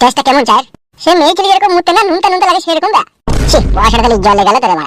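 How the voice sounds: Speaking very fast in a cartoonish character voice, a man goes extremely high in pitch with big swings and a fairly bright tone.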